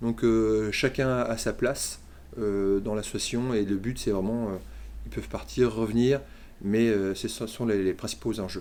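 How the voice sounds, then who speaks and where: A man with a fairly low pitch and a dark, mellow tone speaks at a fairly slow pace with fairly even intonation. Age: 40s. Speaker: handball club co-president. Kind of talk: interview. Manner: hesitant, many fillers.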